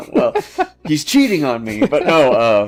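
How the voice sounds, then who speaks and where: A man with an American accent talks at a moderate pace. Music plays in the background. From US Midwest. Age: 30s. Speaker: YouTube miniature painting host. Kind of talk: casual chat during live painting stream. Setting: live stream.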